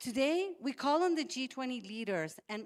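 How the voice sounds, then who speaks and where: With a Spanish accent, a woman moves through very wide pitch swings at a moderate pace on a very clean recording with a silent background. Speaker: health NGO advocate. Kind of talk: prepared speech.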